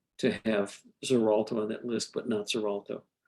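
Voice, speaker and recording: The speaker is a man with a plain, everyday voice. He keeps a medium pitch and a moderate pace. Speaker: physician presenter. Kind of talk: online medical lecture and discussion.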